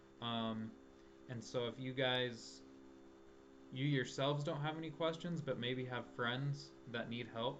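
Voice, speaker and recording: There is audible room echo around a man's voice. He speaks with fairly even intonation and long, frequent pauses. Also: medium pitch for a man, fairly slow pace. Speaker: math and physics tutor. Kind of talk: tutorial. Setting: live stream.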